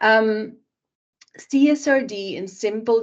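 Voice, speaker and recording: A woman with a plain, everyday voice speaks at a fairly high pitch with ordinary pitch variation. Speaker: sustainability consultant. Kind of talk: webinar presentation.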